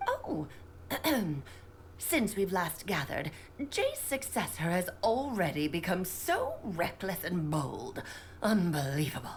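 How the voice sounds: Putting on a character voice, a woman speaks at a fairly slow pace with long, frequent pauses over clear background noise.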